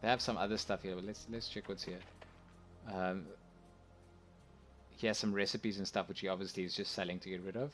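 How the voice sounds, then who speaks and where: Over music in the background, a man mumbles very fast at a fairly low pitch with fairly even intonation, broken by long, frequent pauses. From South Africa. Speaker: video game streamer. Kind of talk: live gameplay commentary. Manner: soft-spoken; mumbling.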